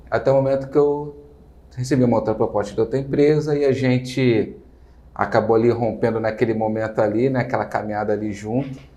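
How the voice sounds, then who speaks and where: Speaking at a fairly quick pace, a man with a Rio de Janeiro accent has a medium pitch, a dark, mellow tone and very even loudness. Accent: carioca (Rio de Janeiro). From Rio de Janeiro, Brazil. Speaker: entrepreneur, business owner. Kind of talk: interview. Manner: hesitant, many fillers.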